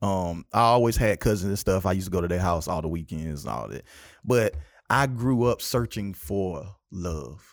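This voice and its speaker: A man's very deep, low voice with a South Carolina accent, lively intonation, and a moderate pace, on a very clean recording with a silent background. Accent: Southern US, South Carolina. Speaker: podcast host. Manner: animated, humorous.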